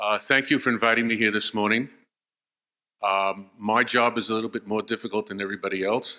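Over a quiet background, a man's fairly low voice has a bright, sharp tone and fairly even intonation. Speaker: conference speaker. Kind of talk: lecture. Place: hall. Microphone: podium.

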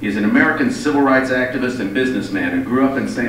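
A man's voice carries audible room echo, with light background noise behind it. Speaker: event host introducing the guest speaker. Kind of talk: formal speaker introduction. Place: hall.

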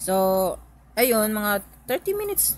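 Light background noise under a woman's somewhat breathy voice at a fairly slow pace, dry with no echo. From Philippines. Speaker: vlogger. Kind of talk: vlog storytelling. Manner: halting, many fillers. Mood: calm, reflective storytelling. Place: home room. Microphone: phone near.

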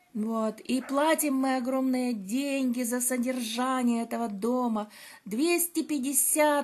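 This woman's high voice moves at a very slow pace, with pitch that varies in an ordinary way. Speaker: vlogger. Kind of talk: casual vlog chat. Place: beach. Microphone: phone near.

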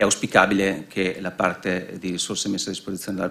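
A man speaks with a very deep, low pitch. His intonation is monotone and flat. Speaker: finance specialist; conference speaker. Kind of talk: conference presentation. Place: hall.

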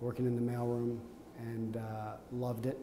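Audible room echo and light background noise accompany a man speaking at a moderate pace. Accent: Canadian. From Canada, Montreal. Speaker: company executive. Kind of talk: oral history interview. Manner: hesitant, with fillers and repetitions. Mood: warm, reminiscing. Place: office.

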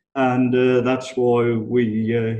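A man speaks with an English accent over light background noise. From England. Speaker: business improvement consultant. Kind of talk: webinar presentation. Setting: online webinar. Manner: casual, conversational. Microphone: video call.

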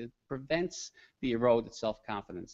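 A man with a Newfoundland accent against a quiet background. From Newfoundland, Canada. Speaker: education researcher presenting a discussion paper; presenter. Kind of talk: conference presentation. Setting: conference room with live audience. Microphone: podium.

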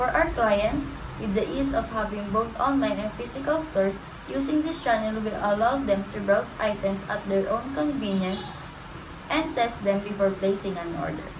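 The voice moves at a moderate pace. There is noticeable background noise. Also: woman, fairly high pitch for a woman. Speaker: student presenter; presenter. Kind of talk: class presentation. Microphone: webcam.

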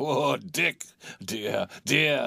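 Very slowly, a man performs a put-on character voice with a bright, sharp tone, vocal fry and a slightly husky edge.

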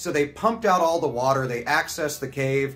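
Speech at a fairly quick pace with faint music in the background. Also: man. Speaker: video host. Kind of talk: educational vlog commentary. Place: home room.

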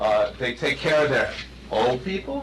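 A man's fairly high voice at a fairly slow pace, with noticeable background noise. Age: 60s. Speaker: resident speaking at public comment. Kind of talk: public comment at village board meeting. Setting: village board meeting room. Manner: halting, many fillers and restarts.

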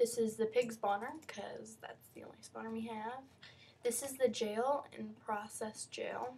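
A woman's fairly high, somewhat breathy voice, fairly slow and in a flat monotone. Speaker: YouTuber showing her game server. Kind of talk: video game walkthrough. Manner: halting, many fillers; casual.

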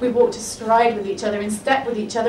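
Light background noise and audible room echo around a woman speaking. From England. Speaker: poet. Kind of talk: spoken word poem performance, rhythmic rhyming verse with comic punchlines. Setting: live on stage with audience. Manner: animated, playful, wry comic timing with laughs. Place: bar.

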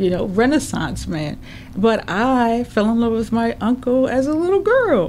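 In an ordinary speaking voice, a woman with an American accent talks at a fairly high pitch. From St. Paul, Minnesota (Rondo/Selby Dale). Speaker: media producer and entrepreneur. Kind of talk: interview. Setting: studio.

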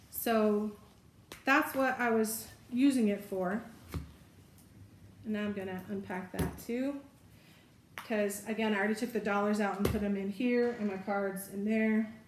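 Noticeable background noise sits behind a woman's medium-pitched voice. She talks at a fairly slow pace with fairly even intonation. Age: 50s. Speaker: lifestyle video creator. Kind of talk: casual show-and-tell tutorial. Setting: home video recording. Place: home room. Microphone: camera far.

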